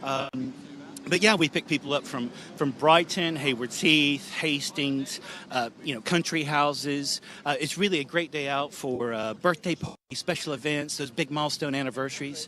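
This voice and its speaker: A man with an American accent in an ordinary speaking voice: fairly high pitch, ordinary pitch variation, moderate pace. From US, Northern California. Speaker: wine tour operator. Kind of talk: radio interview.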